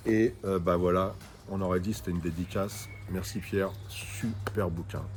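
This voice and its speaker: Monotone, flat intonation at a fairly slow pace, with audible room echo. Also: man, very deep, low pitch for a man. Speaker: book review video host. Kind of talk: casual chat reviewing books. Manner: loud.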